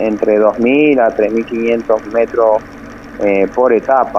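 Very slowly and with fairly even intonation, a man speaks at a medium pitch against noticeable background noise. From Argentina, Santa Cruz, Patagonia (Río Gallegos, El Calafate). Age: 30s. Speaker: mountain bike racer. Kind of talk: radio interview. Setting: phone call. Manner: halting, many fillers and repetitions.

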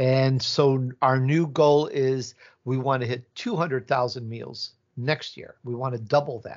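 In a Midwestern accent, a man speaks at a fairly slow pace, medium in pitch and fairly even in intonation. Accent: Midwest American. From Chicago, US Midwest (born in Italy). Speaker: podcaster. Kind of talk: casual interview chat.

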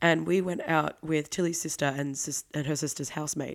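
A woman with a very deep, low pitch speaks at a moderate pace and with fairly even intonation on a very clean recording with a silent background. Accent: Australian. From Australia, Victoria. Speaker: podcast co-host. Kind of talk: casual chat.

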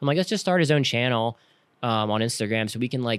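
In an unremarkable speaking voice, a man with an American accent talks at a medium pitch with ordinary pitch variation. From Pennsylvania, outside Philadelphia. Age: 30s. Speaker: professional flat track racer. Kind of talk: casual interview chat.

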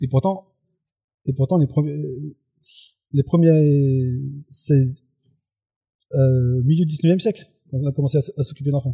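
A man's fairly high, somewhat breathy voice with a dark, mellow tone and ordinary pitch variation, at a very slow pace with long, frequent pauses, in a dry, close sound with no echo. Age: 40s. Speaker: youth work trainer and blogger. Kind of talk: casual chat. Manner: halting.

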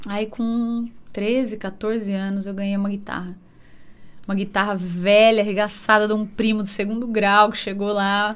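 Woman's voice at a medium pitch and a fairly slow pace, monotone and flat, with audible room echo. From interior of São Paulo state (Jaú, Bauru). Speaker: musician. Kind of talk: casual chat.

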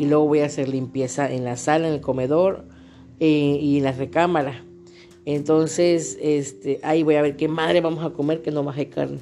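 A woman with a very deep, low voice speaks at a moderate pace, her pitch varying in an ordinary way. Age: 30s. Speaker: podcaster with fibromyalgia. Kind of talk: personal vlog monologue.

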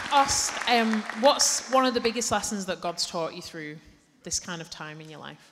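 Against crowd noise in the background, a woman speaks at a medium pitch with a warm tone and lively intonation. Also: moderate pace. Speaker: church leader hosting a panel. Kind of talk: church service panel conversation. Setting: stage with audience in church. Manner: warm, chatty and humorous.

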